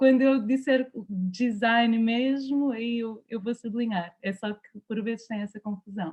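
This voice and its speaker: A woman in a European Portuguese accent at a fairly high pitch, with fairly even intonation, a fairly slow pace, and hardly any pauses. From Portugal, Lisbon. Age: 30s. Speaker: anthropologist. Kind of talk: talk.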